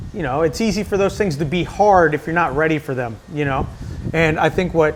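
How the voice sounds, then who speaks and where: It's a plain, everyday voice. The delivery moves at a fairly quick pace. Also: man. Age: 30s. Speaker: CrossFit coach. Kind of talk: casual chat.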